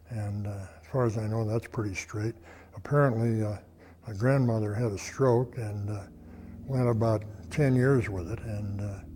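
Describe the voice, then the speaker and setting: Somewhat breathy and fairly low in pitch, a man talks with an American accent. His pace is moderate and his intonation fairly even. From Colorado, USA. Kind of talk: oral history interview answer. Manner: hesitant, halting.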